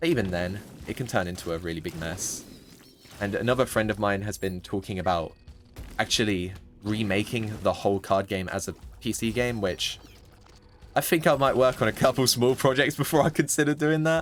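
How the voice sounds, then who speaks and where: Music plays in the background as a man with a British accent speaks in a fairly low pitch. His pace is fairly quick, with lively intonation and long, frequent pauses. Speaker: gaming YouTuber. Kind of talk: gameplay commentary, casual chat. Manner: rambling, casual with filler words.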